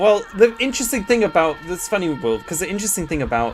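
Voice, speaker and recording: The talking goes along at a fairly quick pace. Behind it, music can be heard. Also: man. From southern England, near Ascot. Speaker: gaming streamer. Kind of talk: live gameplay commentary. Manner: animated.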